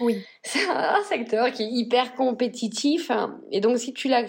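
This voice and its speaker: Noticeable background noise runs under the speech. The pitch varies in an ordinary way. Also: woman. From northern France. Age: 40s. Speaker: fashion brand founder. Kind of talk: interview. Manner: halting.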